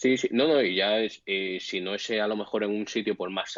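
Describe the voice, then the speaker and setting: Fairly even intonation at a fairly quick pace. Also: man. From Spain. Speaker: bartender. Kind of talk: casual chat.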